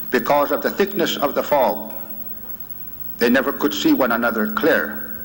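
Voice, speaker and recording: Against noticeable background noise, a man speaks at a moderate pace with very even loudness. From Oklahoma, Okemah area (Creek Nation). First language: Muskogee Creek. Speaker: medicine man, invited speaker. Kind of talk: lecture to students. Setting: university auditorium with audience.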